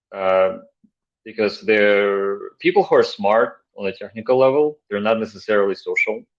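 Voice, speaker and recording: This man speaks with a non-native accent. His pace is moderate. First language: not English. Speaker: tech entrepreneur, former security consultant. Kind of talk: casual interview chat.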